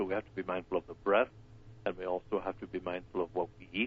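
This man talks at a very fast pace with an Irish accent. His pitch is very deep and low. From Ireland. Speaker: wellness doctor. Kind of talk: live radio interview. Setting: phone call.

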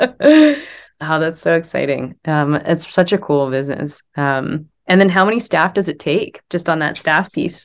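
With a Canadian accent, the speaker talks at a fairly slow pace with ordinary pitch variation in a very clean recording with a silent background. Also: woman, fairly low pitch for a woman. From Ontario, Canada. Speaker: podcast host, organizational psychologist. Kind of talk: interview. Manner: animated.

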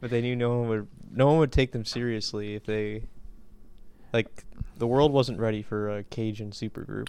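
A man's medium-pitched, dark and mellow voice with fairly even intonation and long, frequent pauses. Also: moderate pace. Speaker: podcast co-host. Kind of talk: casual chat.

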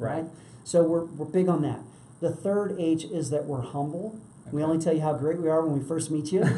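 A man with an American accent talks at a fairly quick pace and fairly high pitch. Noticeable background noise and audible room echo are present. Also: fairly even intonation. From US East Coast, DC/Virginia area. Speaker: real estate professional. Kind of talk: interview.

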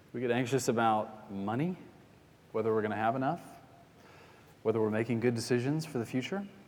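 Audible room echo surrounds a man talking at a very fast pace and medium pitch, with ordinary pitch variation and long, frequent pauses. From US South, Atlanta. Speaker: pastor. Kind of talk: sermon.

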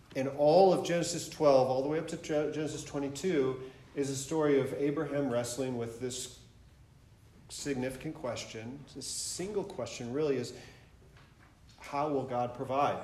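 Speaking at a moderate pace in an American accent, a man with a fairly high pitch keeps his intonation fairly even, and the room echo is audible. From Michigan. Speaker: pastor. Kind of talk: sermon. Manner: halting.

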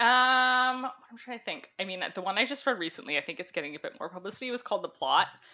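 Using a plain, everyday voice, a woman with a Canadian accent speaks at a fairly high pitch with lively intonation and hardly any pauses. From Ontario, Canada. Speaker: book sales rep. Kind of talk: casual interview chat. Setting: video call. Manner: many filler ums, chatty.

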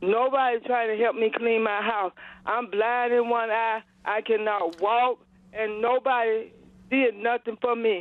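A woman at a fairly slow pace, monotone and flat, with very even loudness. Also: fairly high pitch for a woman. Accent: American. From US South, Georgia. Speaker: caller. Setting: phone call. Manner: halting.

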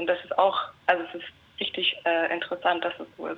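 A woman is talking. Her pace is moderate. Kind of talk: casual chat. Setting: phone line.

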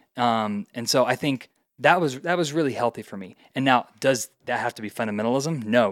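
A man with an American accent and a normal speaking voice talks at medium pitch and a moderate pace, with ordinary pitch variation and big swings in loudness, on a very clean recording with a silent background and a dry, close sound with no echo. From US Midwest, Indiana. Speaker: teacher. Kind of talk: casual interview.

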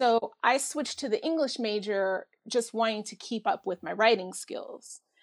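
An ordinary speaking voice from a woman with an American accent, fairly high in pitch, at a moderate pace with lively intonation and big swings in loudness, in a very clean recording with a silent background and dry, close sound with no echo. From New York area (Bronx-born, raised Bridgeport, Connecticut). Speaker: post-production worker. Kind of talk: casual chat.

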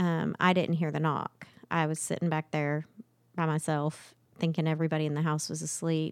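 In a very clean recording with a silent background, a woman with a very deep, low pitch speaks at a moderate pace with monotone, flat intonation. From Oklahoma. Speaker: bereaved mother and charity founder. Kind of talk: interview. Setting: studio.

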